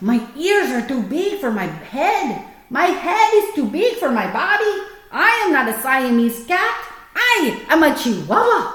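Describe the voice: A put-on character voice in a Spanish accent, with very wide pitch swings, a fairly slow pace and a slight echo. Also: woman, high pitch for a woman.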